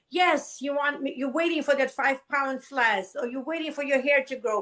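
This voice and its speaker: Speaking with a non-native accent, a woman sounds animated, her high voice bright and sharp with ordinary pitch variation. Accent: foreign. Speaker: business coach. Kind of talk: podcast interview.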